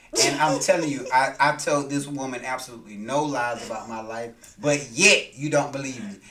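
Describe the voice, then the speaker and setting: Over noticeable background noise and audible room echo, a man with a fairly high pitch talks at a moderate pace with hardly any pauses, ordinary pitch variation and big swings in loudness. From US South, Macon, Georgia. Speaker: podcast host's husband. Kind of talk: casual chat.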